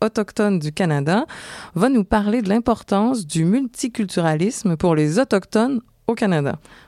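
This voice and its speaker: Dark and mellow in tone, a woman speaks at a medium pitch and moderate pace with lively intonation, the sound dry and close with no echo on a very clean recording with a silent background. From Quebec, Montreal. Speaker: podcast co-host. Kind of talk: travel podcast hosting, partly scripted.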